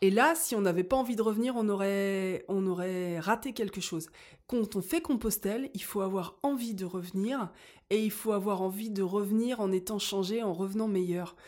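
A woman with an ordinary speaking voice, medium in pitch, at a moderate pace with ordinary pitch variation. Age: 40s. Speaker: school chaperone. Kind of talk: casual chat.

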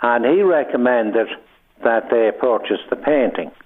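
At a moderate pace, a man with an Irish accent talks at a medium pitch with ordinary pitch variation. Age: 70s. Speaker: painter. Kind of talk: radio interview. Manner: halting.

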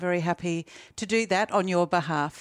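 A woman speaks in a normal speaking voice at a medium pitch with ordinary pitch variation. The recording is very clean and silent, with a dry, close sound and no echo. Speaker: podcast host. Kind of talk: interview, conversational.

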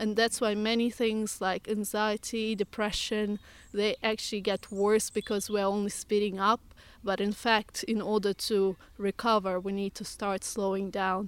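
A woman with a Russian accent and a medium-pitched voice speaks at a moderate pace in a flat monotone, in a very clean recording with a silent background. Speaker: forest bathing guide and yoga teacher. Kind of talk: interview conversation. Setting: outdoors in woodland.

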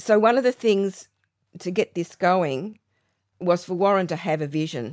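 In an Australian accent, a woman with medium pitch and lively intonation speaks at a moderate pace with long, frequent pauses, in a very clean recording with a silent background. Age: 70s. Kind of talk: casual interview chat.

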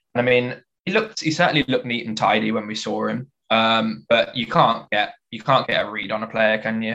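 A plain, everyday voice from a man, medium in pitch, with ordinary pitch variation and a fairly quick pace. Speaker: football fan panelist. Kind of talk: casual group chat about football. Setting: video call.

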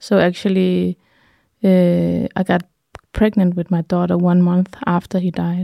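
A woman with a Danish accent speaks at a fairly slow pace and a fairly low pitch, her dark, mellow tone held in monotone, flat intonation, in a very clean recording with a silent background and a dry, close sound with no echo. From Denmark, Jutland. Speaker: healer and artist. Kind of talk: interview. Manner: halting.

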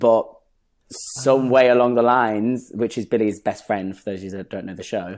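A man with a slight Lancashire accent at a medium pitch and moderate pace, with big swings in loudness, in a very clean recording with a silent background. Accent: northern English, Lancashire, slight. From northern England, Bury. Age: 20s. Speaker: dancer and actor. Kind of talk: casual interview chat. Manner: animated, humorous.

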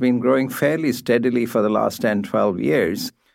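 A man with medium pitch speaks at a moderate pace with ordinary pitch variation. His voice carries vocal fry. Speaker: supply chain academic. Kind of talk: interview.

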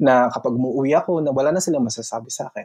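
A very fast man's voice in a Filipino accent, medium in pitch, dark and mellow in tone, with ordinary pitch variation. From Philippines. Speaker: OFW in Italy. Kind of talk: casual interview.

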